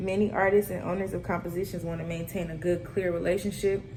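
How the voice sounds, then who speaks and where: A woman with a fairly low pitch speaks at a fairly quick pace in a monotone, flat intonation, with audible room echo and noticeable background noise. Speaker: student presenter. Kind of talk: class presentation.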